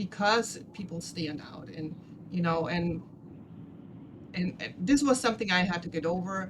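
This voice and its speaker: A woman with a German accent talks at a moderate pace and fairly low pitch, with ordinary pitch variation, big swings in loudness, and long, frequent pauses. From Germany. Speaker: podcast host and spiritual teacher. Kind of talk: casual interview chat.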